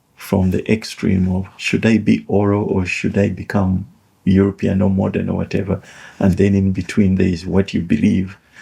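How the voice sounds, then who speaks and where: This man speaks fairly slowly, his fairly low voice somewhat breathy with a dark, mellow tone. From Uganda (Buganda). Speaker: author and educational commentator. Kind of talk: reflective monologue. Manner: halting, with fillers and repetitions.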